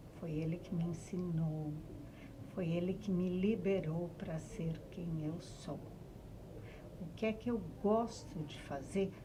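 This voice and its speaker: A woman's fairly low voice with fairly even intonation, at a very slow pace with long, frequent pauses, amid audible room echo and noticeable background noise. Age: 60s. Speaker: writer. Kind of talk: podcast interview.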